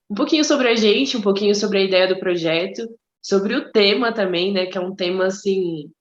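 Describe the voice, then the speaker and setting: In an ordinary speaking voice, a woman at medium pitch talks at a fairly quick pace with ordinary pitch variation. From Brazil, Mato Grosso. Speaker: podcast co-host. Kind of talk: casual chat.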